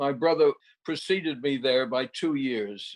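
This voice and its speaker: A man with a New York accent speaks at fairly high pitch and a moderate pace. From New York City (Queens). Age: 80s+. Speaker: film producer. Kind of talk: interview.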